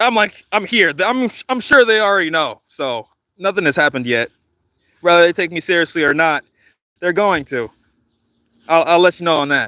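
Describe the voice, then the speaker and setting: On a very clean recording with a silent background and a dry, close sound free of echo, a man with a high pitch and a bright, sharp tone speaks at a moderate pace with lively intonation and long, frequent pauses. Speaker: livestreamer, community patrol organizer. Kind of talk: livestream chat with viewers. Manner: casual, halting.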